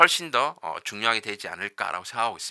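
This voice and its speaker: On a very clean recording with a silent background, a man's bright, sharp voice carries vocal fry, sounding dry and close with no echo. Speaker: university professor. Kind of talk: lecture. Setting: recorded lecture video. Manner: fast.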